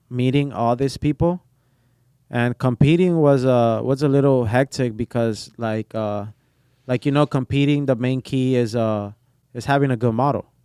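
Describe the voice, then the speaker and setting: A man speaks with a slight Spanish accent and fairly even intonation. The recording is very clean, with a silent background. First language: Portuguese. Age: 20s. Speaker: barber. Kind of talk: casual chat.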